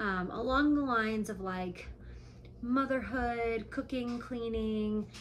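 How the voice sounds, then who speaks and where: With audible room echo, a woman with an American accent speaks at a fairly high pitch with ordinary pitch variation. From Nevada. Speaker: vlogger, stay-at-home mom. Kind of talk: casual vlog talk to camera. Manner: frequent ums, conversational.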